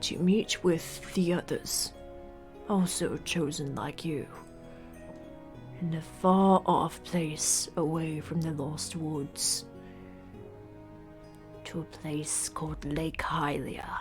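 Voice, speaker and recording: Over clear music in the background, a put-on character voice at middle pitch moves at a very slow pace with long, frequent pauses. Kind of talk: solemn fantasy elder voice. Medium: actual play. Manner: slow, grave, formal.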